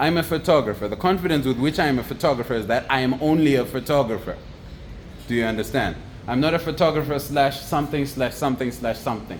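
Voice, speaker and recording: A man talks at a very fast pace, with ordinary pitch variation. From Zimbabwe. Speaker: photographer and entrepreneur. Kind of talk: motivational monologue. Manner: talkative, casual with fillers.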